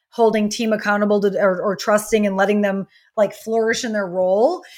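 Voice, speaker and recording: In a very clean recording with a silent background, a woman with an American accent and a plain, everyday voice speaks at a fairly high pitch, with fairly even intonation and a fairly quick pace. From US Midwest, rural Wisconsin. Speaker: business coach. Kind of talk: interview.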